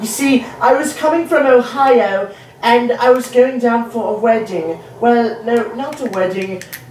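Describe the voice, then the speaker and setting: Moderate pace with long, frequent pauses, ordinary pitch variation, and noticeable background noise. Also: woman, high pitch for a woman. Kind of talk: comic sports commentary parody, scripted-sounding bit with a character voice.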